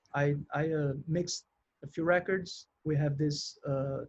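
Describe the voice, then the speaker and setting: A man with a Brazilian accent speaks in a fairly high pitch with a monotone, flat intonation. His voice is somewhat breathy. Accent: Brazilian accent, noticeable but mild. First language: Portuguese. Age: 40s. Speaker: musician and studio engineer. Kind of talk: interview. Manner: halting.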